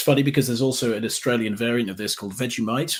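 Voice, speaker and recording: A man speaks in an East Midlands accent at a medium pitch. The recording is very clean, with a silent background. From England, Derby (East Midlands). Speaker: travel content creator. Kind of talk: interview. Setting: live stream.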